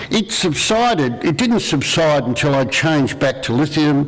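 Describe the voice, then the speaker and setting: A man with an Australian accent talks at a fairly slow pace in a fairly high pitch with lively intonation over noticeable background noise. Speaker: panel speaker with lived experience of bipolar disorder. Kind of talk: public talk.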